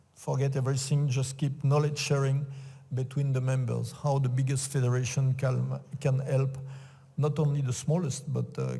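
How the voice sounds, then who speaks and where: Somewhat breathy and dark, mellow in tone, a man speaks at a medium pitch and a moderate pace with monotone, flat intonation. His loudness stays very even, and audible room echo surrounds the voice. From France. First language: French. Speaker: sports executive. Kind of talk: conference talk. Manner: halting.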